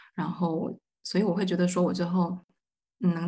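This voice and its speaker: A somewhat breathy voice at a fairly quick pace. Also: woman. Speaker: graduate student. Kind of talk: roundtable discussion.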